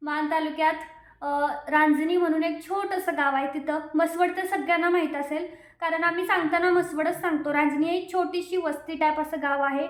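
A woman's extremely high-pitched, monotone and flat voice with audible room echo. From Maharashtra, Satara district (Maan taluka). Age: 20s. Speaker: lifestyle vlogger. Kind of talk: casual Q&A vlog.

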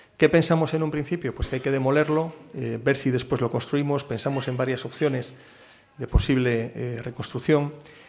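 A man with a plain, everyday voice, fairly high pitch, fairly even intonation and a moderate pace. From Cantabria, Spain. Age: 50s. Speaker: port authority president. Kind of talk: keynote talk and Q&A at business forum. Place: hall. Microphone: podium.

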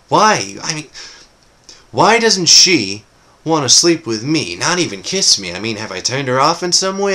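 A man talks at a moderate pace with very wide pitch swings. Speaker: actor performing audition monologue. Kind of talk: performed comedic monologue. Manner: animated, wry, conversational; playful, laughing, cocky swagger. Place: home room. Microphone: webcam.

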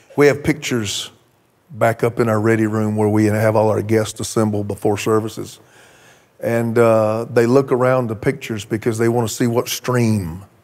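A man talks at a moderate pace, his intonation staying fairly even. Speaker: preacher. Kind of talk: sermon. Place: church. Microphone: handheld.

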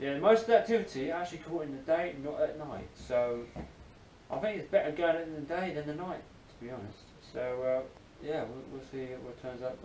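A man is heard with audible room echo. Light background noise sits behind him. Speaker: vlogger. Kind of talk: casual vlog chat. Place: home room. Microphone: camera far.

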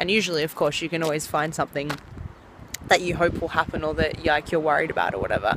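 The pace is very fast. Noticeable background noise runs under the speech. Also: woman, dry sound with no echo. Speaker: vlogger. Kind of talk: casual vlog chat. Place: waterside. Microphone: phone near.

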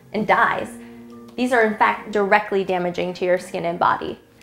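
The speech comes at a fairly quick pace with audible room echo. Faint music plays in the background. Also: woman. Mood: warm, upbeat. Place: studio.

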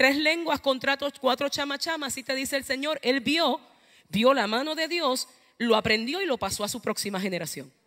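Here a woman's raised, projected voice comes through with a high pitch and a bright, sharp tone. She keeps a moderate pace against a quiet background. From Puerto Rico, eastern coast (Ceiba); Puerto Rico. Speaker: preacher. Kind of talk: sermon. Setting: church. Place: church. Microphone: handheld.

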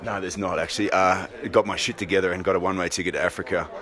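A very fast-talking man with a very deep, low pitch, his sound dry with no echo, against noticeable background noise. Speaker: anti-poaching leader, ex-special forces; interviewee. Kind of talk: interview. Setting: film festival, busy venue. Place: home room. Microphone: handheld.

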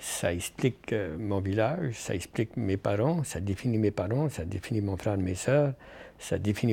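A man talks at a fairly quick pace with lively intonation and a dark, mellow tone. His fairly low voice sounds somewhat breathy. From Acadian New Brunswick, Canada. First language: French. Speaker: professor and author. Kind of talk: interview conversation. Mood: proud, reflective storytelling. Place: meeting room. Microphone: lapel.

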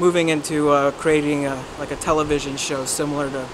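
A man speaks at a moderate pace with noticeable background noise. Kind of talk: interview answer. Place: street.

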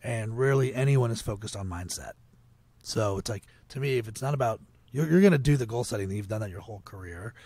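A man with an American accent speaks at a very fast pace in a medium pitch, his tone dark, mellow and somewhat breathy. The recording is very clean with a silent background, showing ordinary pitch variation and big swings in loudness. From Potomac, Maryland, US. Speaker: agency founder and author. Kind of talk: casual interview.

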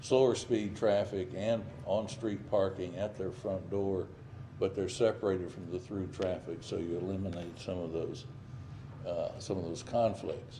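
Somewhat breathy with a dark, mellow tone, a man speaks at a fairly low pitch with fairly even intonation over noticeable background noise. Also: moderate pace. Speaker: presenter. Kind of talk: presentation to council. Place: meeting room.

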